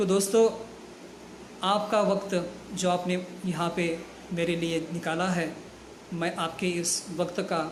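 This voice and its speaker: A man's high, monotone, flat voice amid audible room echo and noticeable background noise. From Kolhapur, Maharashtra, India. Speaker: network marketing distributor. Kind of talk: success story talk. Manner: formal.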